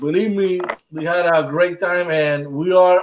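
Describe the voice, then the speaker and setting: A man speaks with a Spanish accent. His pitch is high and his intonation fairly even. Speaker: podcast host. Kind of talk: casual interview.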